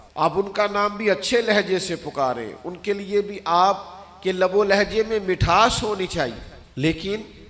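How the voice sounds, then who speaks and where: Pitched high for his sex, a man's voice shows ordinary pitch variation. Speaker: Islamic preacher. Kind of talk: Islamic sermon (bayan) delivered to an audience. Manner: earnest, passionate, persuasive.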